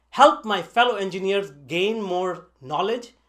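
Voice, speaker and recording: A man's high-pitched voice, very slow, with lively intonation. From northern India. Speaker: online tech instructor. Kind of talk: scripted narration. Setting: basement home studio.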